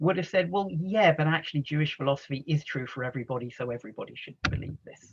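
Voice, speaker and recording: A man speaks with an American accent in a fairly high pitch. His pitch variation is ordinary. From England, London. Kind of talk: lecture. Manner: conversational, with filler words.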